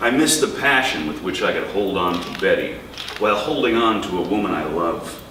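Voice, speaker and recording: A man speaks at a medium pitch and a moderate pace with noticeable background noise behind him. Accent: American. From New York. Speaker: poet. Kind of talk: poetry reading. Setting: live bookstore event.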